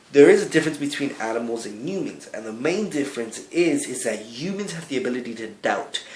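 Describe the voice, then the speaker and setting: There is audible room echo as a man with a fairly high pitch speaks at a fairly quick pace with lively intonation. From Cuba, raised in the United States from a young age. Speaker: video blogger. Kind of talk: vlog monologue. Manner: halting, with self-corrections.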